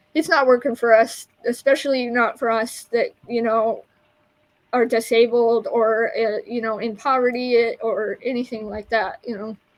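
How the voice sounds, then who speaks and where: Her intonation fairly even, a woman speaks at a moderate pace with a fairly high pitch. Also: big swings in loudness. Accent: American. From Utah, Salt Lake City. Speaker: online community leader and herbal business owner. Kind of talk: podcast interview. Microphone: poor internet connection.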